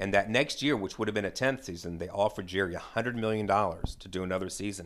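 A man with an American accent and an ordinary speaking voice has a fairly low pitch, captured in a very clean recording with a silent background. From US South, Atlanta. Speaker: real estate professional and TV fan. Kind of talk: casual chat.

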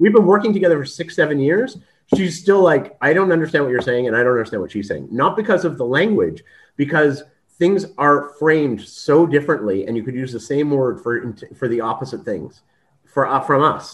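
Over a quiet background, a man with a Canadian accent uses a plain, everyday voice, fairly high pitch and lively intonation. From Canada. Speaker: video interviewer and content creator. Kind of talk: casual interview conversation.

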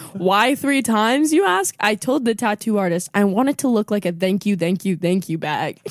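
A woman with an American accent has an unremarkable speaking voice at medium pitch, with lively intonation and very even loudness. She talks at a moderate pace in a dry, close sound with no echo. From Southern California (Oxnard). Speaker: comedian. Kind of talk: casual chat.

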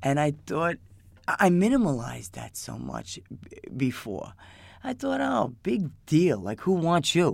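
Speaking in a New York accent, a woman keeps a fairly slow pace with big swings in loudness. The recording is very clean, with a silent background. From New York, Queens. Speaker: addict in recovery. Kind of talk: personal testimony. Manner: halting.

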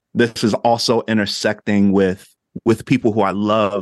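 Against a quiet background, a man talks with an American accent and fairly even intonation. His pitch is fairly low. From New Jersey. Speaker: life coach, former minister. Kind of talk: casual interview chat.

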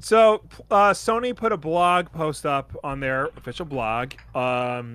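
In a Long Island accent, a man speaks very slowly in a fairly high, bright and sharp voice, his pitch swinging very widely. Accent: Long Island New York. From Long Island, New York. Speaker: podcast co-host. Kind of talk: casual chat.

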